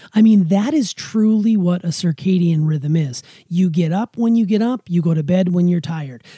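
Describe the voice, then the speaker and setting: Hardly any pauses break up this moderately paced speech. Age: 40s. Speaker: podcast co-host, father. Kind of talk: casual chat.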